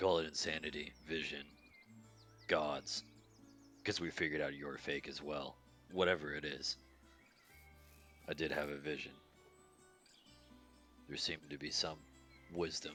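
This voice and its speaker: In a put-on character voice, a man sounds raspy and very deep, with monotone, flat intonation at a moderate pace broken by long, frequent pauses. Clear music plays in the background. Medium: actual play. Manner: defiant, sardonic.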